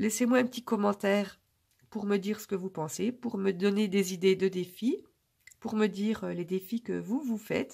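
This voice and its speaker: A woman's somewhat breathy, dark and mellow voice at medium pitch, fairly even in intonation, at a moderate pace. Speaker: budget vlogger. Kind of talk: casual vlog talk to camera. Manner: hesitant, many filler euh.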